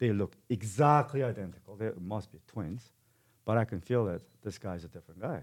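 Speaking with a Korean accent, a man uses a fairly low voice with ordinary pitch variation at a moderate pace in a very clean recording with a silent background. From South Korea. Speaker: martial arts gym owner and fight promoter. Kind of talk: casual interview. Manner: halting, frequent repetitions.

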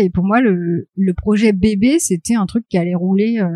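Recorded dry and close with no echo, a woman speaks at medium pitch and moderate pace in a dark, mellow tone with ordinary pitch variation. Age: 30s. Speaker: graphic designer and comic author. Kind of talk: interview.

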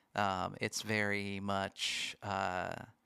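A man speaks with an American accent. The recording is very clean, with a silent background and a dry, close sound lacking echo. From Washington State. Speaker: worship pastor, podcast producer. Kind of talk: casual chat. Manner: halting, many fillers.

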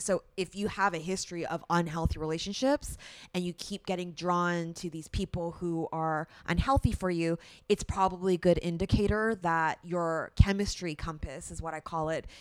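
A woman with a Canadian accent, a normal speaking voice and a fairly low pitch talks at a moderate pace with fairly even intonation and big swings in loudness on a very clean recording with a silent background. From Canada. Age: 30s. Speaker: breakup coach. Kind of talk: podcast interview.

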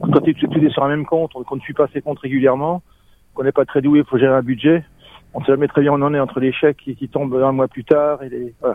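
The delivery is very fast. The intonation stays flat and monotone throughout. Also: man, fairly high pitch for a man. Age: 60s. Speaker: former hotel manager in early retirement. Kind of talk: testimony.

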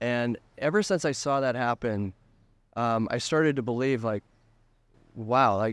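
An unremarkable speaking voice at a moderate pace, with dry, close sound, no echo, and a quiet background. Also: man. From Colorado, US. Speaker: photographer. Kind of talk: interview. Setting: hotel.

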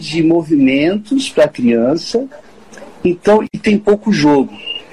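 A man with a high voice swings very widely in pitch, over noticeable background noise. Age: 40s. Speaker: sports pedagogy professor. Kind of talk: interview. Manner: halting.

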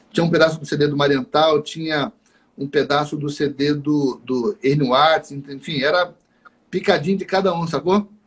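At a moderate pace, a man speaks in a fairly high pitch with ordinary pitch variation. His voice is somewhat breathy. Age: 30s. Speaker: saxophonist and music teacher. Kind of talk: casual interview.

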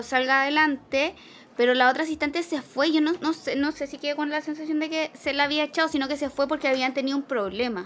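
In a Chilean accent, a woman talks at a fairly quick pace. Her voice sits high. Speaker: film podcast co-host. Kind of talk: casual film discussion.

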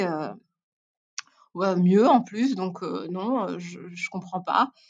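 A woman is the speaker. Her voice falls at a medium pitch. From Belgium (Brussels and Tournai). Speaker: podcast guest. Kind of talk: casual interview. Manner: halting, many repetitions.

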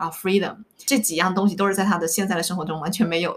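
This woman has an ordinary speaking voice at a medium pitch, with ordinary pitch variation. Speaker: life coach. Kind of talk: casual interview chat, sharing life story.

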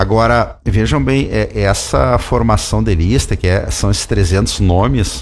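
There is vocal fry in this man's very deep, low-pitched voice. He talks at a fairly slow pace. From Rio Grande do Sul, Santa Maria. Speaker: judge. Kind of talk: radio interview.

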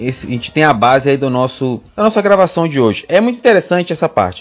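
Fairly high in pitch, a man speaks at a fairly quick pace. His pitch swings are very wide. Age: 30s. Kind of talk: casual Bible discussion.

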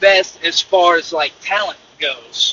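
Very slowly, a man speaks with a Mississippi accent. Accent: Southern US (Mississippi). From US South, northeast Mississippi. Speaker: truck driver, podcaster. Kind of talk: casual monologue. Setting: in a truck on the road. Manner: casual, with fillers.

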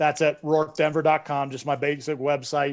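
A man speaks in a fairly high pitch. His intonation is monotone and flat. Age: 40s. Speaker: former Navy SEAL commander. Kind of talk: interview.

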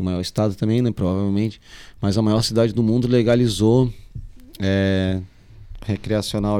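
The tone is dark and mellow. The pace is moderate. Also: man. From Florianópolis, southern Brazil. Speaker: music producer. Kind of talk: casual chat. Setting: live-streamed podcast.

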